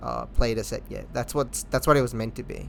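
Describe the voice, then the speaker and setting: With an Indian accent, a man talks at a fairly quick pace. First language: Hindi. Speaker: gaming community organizer. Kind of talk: casual chat.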